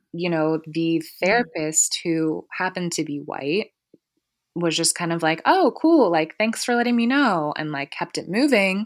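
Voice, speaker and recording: A woman with an unremarkable speaking voice, fairly low pitch and an American accent, lively intonation, fairly slow pace, and a very clean recording over a silent background. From Columbus, Ohio. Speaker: therapist and social worker. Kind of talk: interview.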